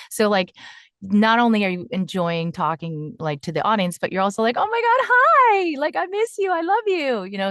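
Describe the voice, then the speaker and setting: With a dry, close sound and no echo, a woman speaks at a fairly quick pace in an ordinary speaking voice. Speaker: voice actor. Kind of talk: interview answer. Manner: casual, chatty.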